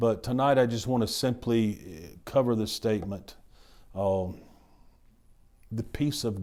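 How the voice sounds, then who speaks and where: Speaking in a dark, mellow tone at a fairly slow pace, a man leaves long, frequent pauses, with ordinary pitch variation and audible room echo. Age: 60s. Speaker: pastor. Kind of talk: sermon. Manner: halting.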